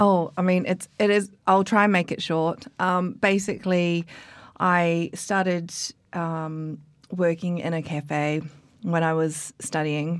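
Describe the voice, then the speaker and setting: A woman in a New Zealand accent, fairly low in pitch and very slow, with fairly even intonation, in a very clean recording with a silent background. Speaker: coffee expert and barista. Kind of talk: casual interview chat. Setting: studio. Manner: hesitant, many fillers.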